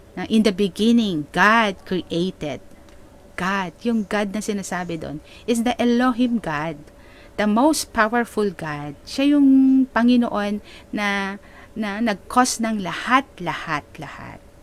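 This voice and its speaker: Here a woman talks at a very slow pace. Her intonation is lively. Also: medium pitch for a woman, big swings in loudness. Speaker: preacher / pastor. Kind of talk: sermon, preaching to a congregation in Taglish. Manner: explanatory, conversational, rhetorical questions.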